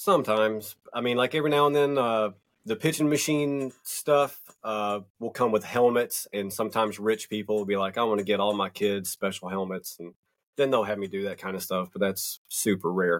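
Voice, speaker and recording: With a Southern US accent, a man talks at a moderate pace. His pitch is fairly low with ordinary variation. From US South, North Georgia mountains. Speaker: magazine publisher. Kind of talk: casual chat.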